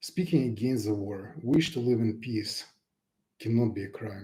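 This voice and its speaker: A man speaks in a Russian accent at a moderate pace. His somewhat breathy voice has a dark, mellow tone and lively intonation. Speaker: pianist and YouTuber. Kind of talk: unscripted live broadcast message. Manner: unprepared, somewhat halting.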